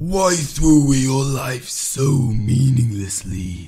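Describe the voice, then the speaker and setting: Putting on a character voice, a man speaks at a very slow pace. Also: medium pitch for a man. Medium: voice reel.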